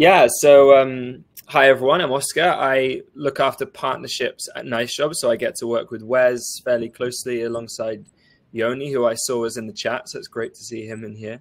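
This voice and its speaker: A man with an English accent talks at a moderate pace and medium pitch, showing ordinary pitch variation and big swings in loudness. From England. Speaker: partnerships manager at a software company. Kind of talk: live webinar panel discussion. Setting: live stream webinar.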